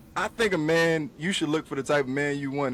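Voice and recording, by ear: At a fairly quick pace, a man speaks.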